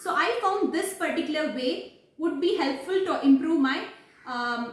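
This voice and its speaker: There is audible room echo around a woman's voice. She speaks at a moderate pace with lively intonation. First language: not English. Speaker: English learning vlogger. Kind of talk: casual vlog talk. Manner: hesitant, many fillers.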